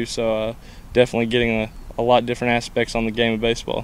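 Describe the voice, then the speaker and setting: A man's fairly quick, monotone, flat delivery at medium pitch over noticeable background noise. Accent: Kentucky. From Kentucky. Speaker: college baseball player. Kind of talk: interview. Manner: halting with many fillers.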